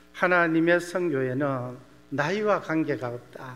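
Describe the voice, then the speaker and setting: A man's unremarkable speaking voice, fairly high in pitch, with ordinary pitch variation. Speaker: missionary pastor. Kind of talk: sermon.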